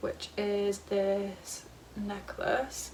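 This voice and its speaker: A woman with a British accent talks over noticeable background noise. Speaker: YouTuber. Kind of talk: casual haul video. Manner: fast; animated.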